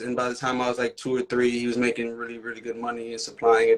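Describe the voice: Talking at a fast pace, a man with an American accent holds a medium pitch.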